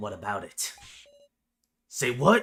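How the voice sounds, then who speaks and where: A man performs a raspy, put-on character voice. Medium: game stream. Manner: rude, taunting.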